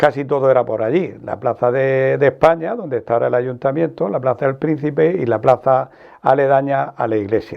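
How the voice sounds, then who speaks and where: The speaker moves at a fairly quick pace in a plain, everyday voice. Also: man, medium pitch for a man, ordinary pitch variation. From Archena, Murcia, Spain. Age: 60s. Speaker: journalist. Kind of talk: interview reminiscence.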